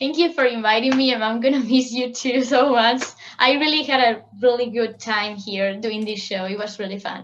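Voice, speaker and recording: A woman speaks with a strong Spanish accent at a high pitch. Her pace is moderate, with ordinary pitch variation. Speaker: international student guest. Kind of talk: casual interview.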